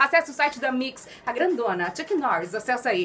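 Upbeat in tone and high in pitch, a woman talks at a moderate pace over light background noise. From Santa Catarina, Brazil. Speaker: radio announcer. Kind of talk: FM radio host talk. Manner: upbeat, casual. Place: studio. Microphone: studio mic.

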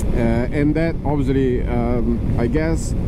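The pace is very slow, and the sound is dry with no echo. Loud background noise runs underneath. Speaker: motorbike rider reviewer. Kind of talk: commentary. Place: motorbike. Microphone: helmet.

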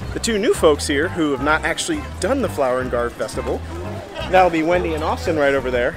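A man talking at a very fast pace, dry sound with no echo, clear music in the background. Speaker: travel vlogger. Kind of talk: casual vlog chat. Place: street. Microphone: phone near.

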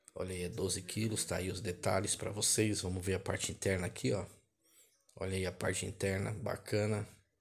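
At a fairly quick pace, a man speaks with a somewhat breathy voice and a very deep, low pitch. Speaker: vlogger showing store prices. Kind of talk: casual store walkthrough commentary. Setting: walking through a supermarket. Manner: repetitive, upbeat hype with stock phrases like 'olha aí, ó' and 'amigos e amigas'; casual, colloquial grammar, rattles off numbers. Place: shop. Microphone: phone near.

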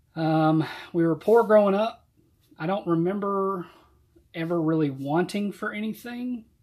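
With a Southern US accent, a man speaks at a moderate pace and high pitch with ordinary pitch variation. He leaves long, frequent pauses against a quiet background. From US South, Georgia. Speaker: church deacon and Sunday school teacher. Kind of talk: youth Bible study talk and testimony. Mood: calm, reflective. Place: home room. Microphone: webcam.

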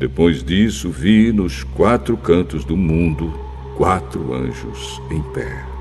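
The speech moves at a very slow pace. Music can be heard in the background. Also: man, very deep, low pitch for a man, ordinary pitch variation. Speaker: announcer. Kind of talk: Bible audiobook reading. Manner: engaging storytelling.

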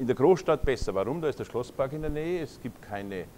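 Over light background noise, a man with a Munich accent speaks at a moderate pace in a dark, mellow tone. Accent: Bavarian (Munich). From Lower Bavaria, Germany. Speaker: naturopath. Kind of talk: conference lecture. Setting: lecture hall with audience. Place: hall. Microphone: lapel.

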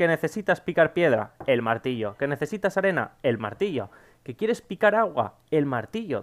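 Over a quiet background, a man talks at a moderate pace. His pitch swings very widely. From Spain. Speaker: gaming YouTuber. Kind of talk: casual Q&A to camera. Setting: home recording at PC. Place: home room.

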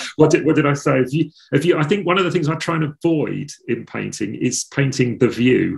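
Over a quiet background, a man with an Essex accent speaks at a fairly quick pace and fairly high pitch, somewhat breathy, with ordinary pitch variation. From England, north Essex coast. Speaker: painter; interviewee. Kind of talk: interview. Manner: halting. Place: home room. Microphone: video call.

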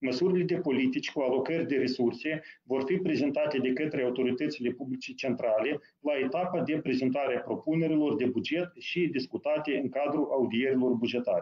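A man talks at a fairly quick pace with ordinary pitch variation. His loudness stays very even. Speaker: deputy prime minister, finance. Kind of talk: formal briefing. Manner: formal.

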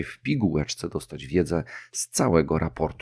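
In a very clean recording with a silent background, a man with a very deep, low pitch and vocal fry speaks with ordinary pitch variation. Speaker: podcast host. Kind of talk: solo podcast monologue.

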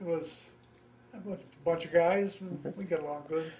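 A man with an American accent talks at a fairly quick pace, his high pitch carried in fairly even intonation. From US Midwest, Ohio. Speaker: war veteran. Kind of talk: oral history interview. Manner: halting. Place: home room.

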